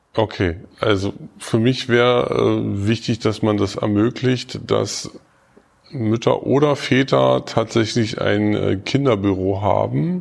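Noticeable background noise sits behind a man speaking at a very slow pace. His fairly low voice has lively intonation and very even loudness. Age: 40s. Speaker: social worker at a youth welfare office, staff council candidate. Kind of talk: interview.

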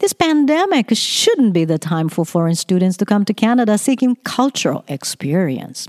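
A woman speaks in a Japanese accent at a moderate pace. Her fairly high voice makes very wide pitch swings. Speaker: education consultant and podcaster. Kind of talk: opinion monologue. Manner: read from script.

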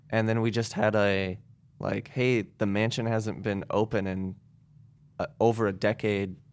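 A man's fairly low, monotone, flat voice with a US Midwestern accent at a fairly slow pace, on a very clean recording with a silent background. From Indiana, US Midwest (Goshen). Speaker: house concert organizer. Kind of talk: casual interview chat.

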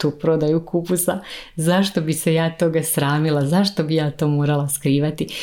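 A woman talks at a moderate pace in a very deep, low voice with a dark, mellow tone. Her loudness stays very even and her intonation fairly even. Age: 30s. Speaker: podcast host, mentor for women. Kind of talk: solo motivational monologue.

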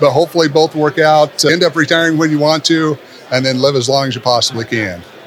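Over music in the background, a man talks at a very fast pace with a fairly high pitch and ordinary pitch variation. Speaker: podcast host, retirement advisor. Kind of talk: interview. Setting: conference venue.

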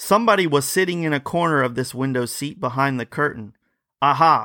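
A fairly high-pitched man in a dramatic tone at a moderate pace, with ordinary pitch variation, on a very clean recording with a silent background. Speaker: podcast host. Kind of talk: ghost story reading aloud. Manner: dramatic, suspenseful first-person storytelling.

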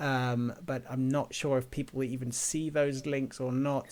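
With an English accent, a man talks at a fairly slow pace. His pitch is medium. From England. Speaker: podcast host. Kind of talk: casual interview. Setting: remote call.

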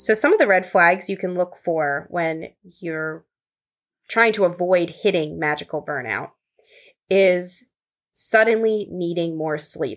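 At a fairly slow pace with long, frequent pauses, a woman with a fairly low pitch and ordinary pitch variation is heard on a very clean recording with a silent background. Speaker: spiritual pilgrimage guide and podcast host. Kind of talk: casual conversational podcast discussion.

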